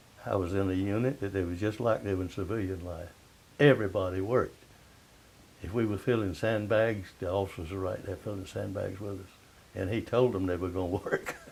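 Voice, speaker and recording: A man with a fairly low, somewhat breathy voice speaks at a fairly quick pace. His pitch varies in an ordinary way. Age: 80s+. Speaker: World War II veteran, Seabee. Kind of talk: interview answer.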